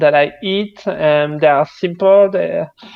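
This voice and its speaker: A man with a French accent speaks in a high pitch with ordinary pitch variation. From France. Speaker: game developer. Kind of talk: casual chat.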